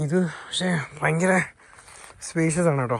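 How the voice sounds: A man speaks with fairly even intonation.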